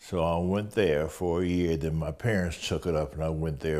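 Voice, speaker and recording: A man with a very deep, low voice talks at a fairly slow pace. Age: 80s+. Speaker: painter and sculptor. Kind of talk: interview. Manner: halting, with fillers.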